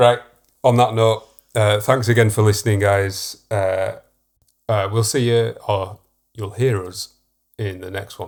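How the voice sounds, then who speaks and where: In a Yorkshire accent, a man with a fairly low, somewhat breathy voice speaks at a fairly slow pace in a monotone, flat intonation, leaving long, frequent pauses, on a very clean recording with a silent background. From Yorkshire, northern England. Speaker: podcast co-host, professional artist. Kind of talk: casual chat.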